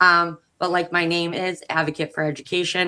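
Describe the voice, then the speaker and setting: Over a very clean recording with a silent background, a woman with a fairly low pitch uses ordinary pitch variation and a bright, sharp tone. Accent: Boston. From Massachusetts, US. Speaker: education advocate, panelist. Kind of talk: casual chat. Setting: live stream.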